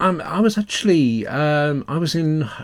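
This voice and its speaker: With an English accent and lively intonation, a man speaks in a very clean recording with a silent background. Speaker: author doing audio commentary. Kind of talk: DVD-style audio commentary, relaxed solo talk. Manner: relaxed, conversational with fillers.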